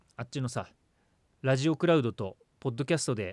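Recorded very cleanly against a silent background, a man talks at a fairly quick pace with lively intonation. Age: 40s. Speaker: radio host. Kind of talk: casual chat. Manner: animated.

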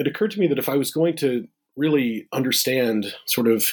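This man speaks with an American accent and ordinary pitch variation. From US Midwest. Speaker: history professor. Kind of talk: interview. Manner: halting.

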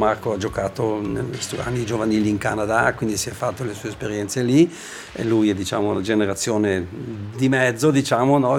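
A man at a fairly low pitch and fairly quick pace, with ordinary pitch variation and noticeable background noise. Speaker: ice hockey coach. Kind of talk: interview.

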